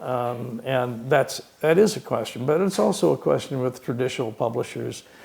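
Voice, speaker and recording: Lively intonation carries this moderate-paced speech over noticeable background noise. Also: man. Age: 80s+. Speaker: author, retired doctor. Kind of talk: author talk, Q&A. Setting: stage with audience. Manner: halting, many fillers.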